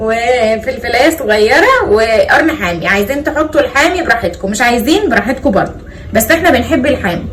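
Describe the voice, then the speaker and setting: The pitch swings very widely, and there are hardly any pauses at a moderate pace. Room echo is audible, and background noise is noticeable. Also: woman, high pitch for a woman. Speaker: cooking vlogger. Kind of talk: cooking tutorial. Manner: casual, chatty.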